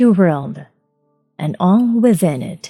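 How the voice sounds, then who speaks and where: A Filipino accent with music in the background. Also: woman. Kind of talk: audiobook reading.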